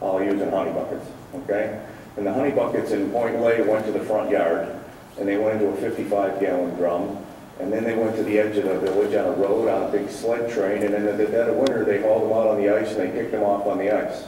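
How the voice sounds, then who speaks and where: Over noticeable background noise and audible room echo, a man speaks at a very fast pace with a fairly low pitch. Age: 60s. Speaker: business owner giving public comment. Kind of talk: testimony. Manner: halting, many fillers.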